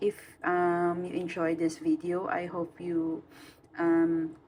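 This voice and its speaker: With a non-native accent, someone speaks very slowly. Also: woman. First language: not English. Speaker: coloring hobby youtuber. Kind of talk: casual vlog talk. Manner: halting, many fillers.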